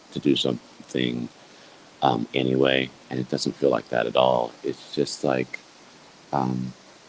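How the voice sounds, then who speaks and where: A fairly slow, monotone, flat delivery with long, frequent pauses over noticeable background noise. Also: man, very deep, low pitch for a man. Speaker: life coach livestreamer. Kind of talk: casual livestream reflection. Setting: live video stream. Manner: halting, many fillers.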